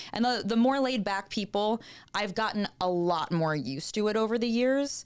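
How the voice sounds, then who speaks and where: A woman speaks with an American accent at a fairly high pitch. Her pace is moderate and her intonation lively. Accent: New York accent, mostly gone. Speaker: actress and acting coach. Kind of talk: podcast interview.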